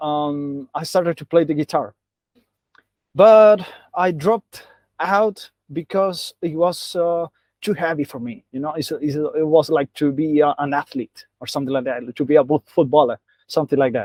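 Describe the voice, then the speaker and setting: A man's fairly high voice at a moderate pace, with ordinary pitch variation and a dry, close sound free of echo. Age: 20s. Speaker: translator. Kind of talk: interview. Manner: halting.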